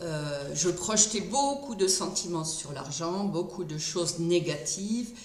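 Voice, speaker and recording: The voice has ordinary pitch variation, heard with audible room echo and noticeable background noise. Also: woman. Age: 60s. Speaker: retired speech therapist. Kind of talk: testimony. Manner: hesitant.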